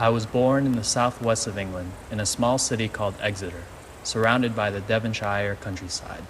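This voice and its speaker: A man with an American accent, fairly low in pitch, fairly quick and fairly even in intonation, against noticeable background noise. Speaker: narrator. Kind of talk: scripted narration.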